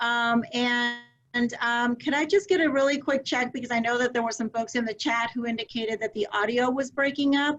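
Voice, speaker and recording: A woman talks at a fairly quick pace in a high pitch. Her pitch varies in an ordinary way. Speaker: early childhood education advocate. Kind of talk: webinar presentation. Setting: video call webinar.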